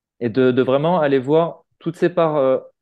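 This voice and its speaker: A man's fairly high pitch with fairly even intonation. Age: 40s. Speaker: founder of a personal-growth community, energy therapist. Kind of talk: casual interview. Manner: hesitant, many fillers.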